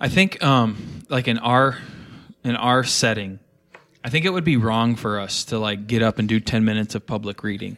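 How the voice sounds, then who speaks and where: A man with a plain, everyday voice and an American accent, medium pitch, ordinary pitch variation and moderate pace, in a very clean recording with a silent background. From northern US. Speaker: pastor, podcast panelist. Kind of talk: panel discussion.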